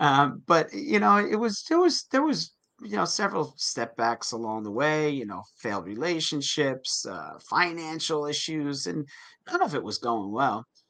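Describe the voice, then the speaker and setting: Speaking at a moderate pace, a man uses a fairly high pitch, very wide pitch swings and a bright, sharp tone. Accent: American. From New Jersey. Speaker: health coach and personal trainer. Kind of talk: interview. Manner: halting, many fillers.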